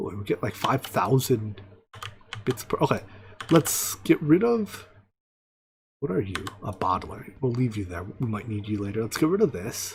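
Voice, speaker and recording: Somewhat breathy and medium in pitch, a man talks at a moderate pace with lively intonation and long, frequent pauses. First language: not English. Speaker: video game streamer. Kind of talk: live gameplay commentary. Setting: home, live stream. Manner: casual, scattered self-talk.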